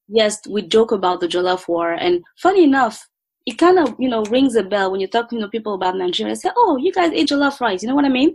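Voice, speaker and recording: A woman with a French accent talks at a very fast pace and a fairly high pitch. Her pitch swings very widely. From Ivory Coast, Abidjan. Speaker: food blogger and entrepreneur. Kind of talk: interview conversation.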